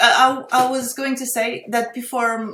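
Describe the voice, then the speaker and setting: At a fairly slow pace, a woman with a Portuguese accent speaks in a high voice with fairly even intonation. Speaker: AI artist. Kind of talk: interview conversation. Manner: halting.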